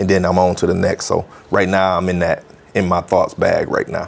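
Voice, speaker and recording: The man has an American accent. Clearly audible noise sits behind his voice. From Beloit, Wisconsin. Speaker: hip hop artist. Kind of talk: interview answer. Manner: casual, slangy.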